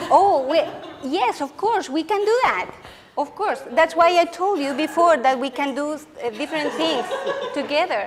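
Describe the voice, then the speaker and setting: A woman's high-pitched voice, lively in intonation, with a Spanish accent amid noticeable background noise. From Chile. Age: 40s. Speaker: education researcher and lecturer. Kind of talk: lecture Q&A discussion. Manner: animated.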